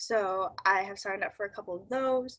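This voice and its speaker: With a Midwestern accent, this voice moves at a fairly slow pace, its tone bright and sharp and its intonation fairly even. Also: woman. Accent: Midwestern, long vowels. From US Midwest. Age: young. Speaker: college student. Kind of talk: casual interview.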